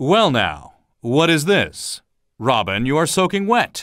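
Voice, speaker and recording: In a put-on character voice, a man talks at a fairly slow pace with very wide pitch swings and very even loudness. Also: fairly high pitch for a man. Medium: read story.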